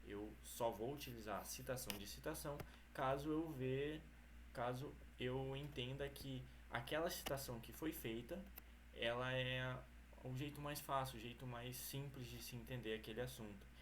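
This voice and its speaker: There is audible room echo as the words come out at a fairly slow pace. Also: man. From Brazil, Mato Grosso. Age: 20s. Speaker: university student. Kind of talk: academic presentation. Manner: halting.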